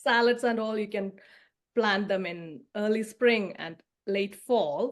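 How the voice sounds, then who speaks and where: A woman's fairly high voice with a Keralan accent, very slow, with ordinary pitch variation. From southern India (Kerala region). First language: Malayalam. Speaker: garden consultant. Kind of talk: podcast interview.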